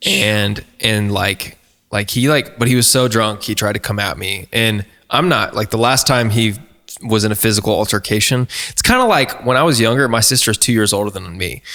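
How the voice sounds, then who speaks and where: At a moderate pace, a bright, sharp voice with an American accent and ordinary pitch variation comes through on a very clean recording with a silent background. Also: man, fairly low pitch for a man. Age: 20s. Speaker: singer-songwriter, podcast guest. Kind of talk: casual chat, personal story. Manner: animated.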